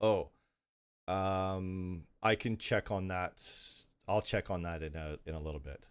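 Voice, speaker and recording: In a very clean recording with a silent background, a man with a very deep, low voice keeps a fairly even intonation, taking long, frequent pauses amid big swings in loudness. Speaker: live streamer answering viewer questions on game server administration. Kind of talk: live Q&A stream reading chat. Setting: live stream.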